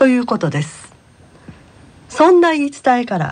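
The voice belongs to a woman speaking in a high pitch. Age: 60s. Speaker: senior college student reporter. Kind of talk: reading aloud.

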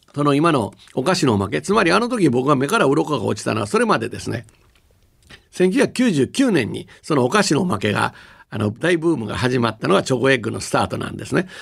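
A man speaks at a fairly quick pace and fairly high pitch, with very wide pitch swings and vocal fry. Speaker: company executive and university professor. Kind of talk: radio lecture talk.

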